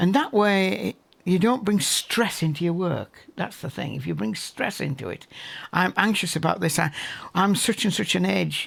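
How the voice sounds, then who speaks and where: The intonation is lively, and the recording is very clean with a silent background. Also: man, high pitch for a man, moderate pace. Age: 70s. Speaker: landscape painter. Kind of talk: documentary interview.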